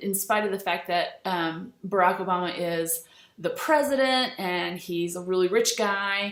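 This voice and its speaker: A woman's voice comes with audible room echo. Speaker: teacher. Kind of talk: lecture. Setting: screencast recording. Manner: hesitant, many fillers.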